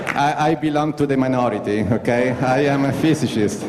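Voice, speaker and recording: The speech moves at a moderate pace, with audible room echo and noticeable background noise. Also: man. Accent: Italian. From Italy. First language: Italian. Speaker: astronaut. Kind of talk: conference talk. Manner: halting.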